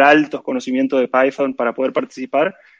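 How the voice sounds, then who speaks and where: The man's voice sits fairly high and sounds dry and close, without echo. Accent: Argentine. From Argentina. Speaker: event organizer, programmer. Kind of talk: casual interview chat.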